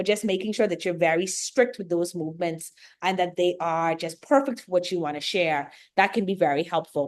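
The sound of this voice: A woman speaks with a Bahamian accent at a fairly quick pace. Her voice is fairly low in pitch.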